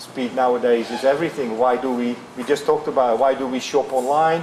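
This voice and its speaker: Over noticeable background noise, a man speaks at a fairly quick pace. His pitch is medium and his intonation fairly even. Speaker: flooring company executive. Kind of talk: interview. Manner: halting.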